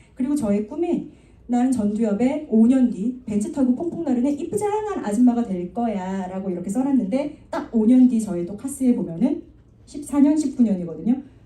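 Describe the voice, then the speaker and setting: A woman's high-pitched voice over noticeable background noise. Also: lively intonation, fairly quick pace. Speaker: network marketing speaker. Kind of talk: motivational talk. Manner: fast.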